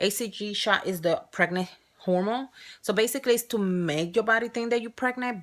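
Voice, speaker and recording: Speaking at a fairly quick pace, a woman with a strong Spanish accent uses a fairly high pitch. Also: ordinary pitch variation, very clean recording, silent background. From Spain or Spanish-speaking country. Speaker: surrogate mother vlogger. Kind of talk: casual vlog. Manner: halting.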